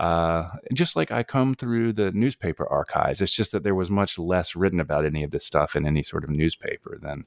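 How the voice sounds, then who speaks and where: With an American accent, a man talks at a moderate pace with lively intonation, the sound dry and close with no echo. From North Carolina. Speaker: author. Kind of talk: interview. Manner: halting, many fillers and repeats.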